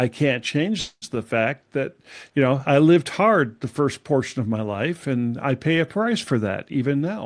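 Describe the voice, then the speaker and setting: An ordinary speaking voice with lively intonation moves at a moderate pace over a quiet background. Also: man, fairly high pitch for a man. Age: 60s. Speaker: retirement coach and former pastor. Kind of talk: podcast interview.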